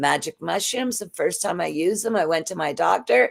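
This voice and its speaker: Lively intonation and vocal fry mark this woman's fairly low-pitched voice. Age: 60s. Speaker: drug law reform activist, retired police officer. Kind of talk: panel podcast discussion.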